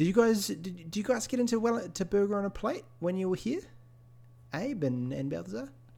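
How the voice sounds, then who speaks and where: In a New Zealand accent, a man talks at a fairly quick pace with a high pitch, very wide pitch swings and a dark, mellow tone. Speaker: podcast co-host and streamer. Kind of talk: casual chat.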